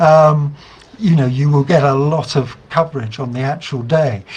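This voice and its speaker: This man has a British accent and a fairly high-pitched, somewhat breathy voice. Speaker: investigative journalist. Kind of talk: online talk to campaign group. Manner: halting, many fillers.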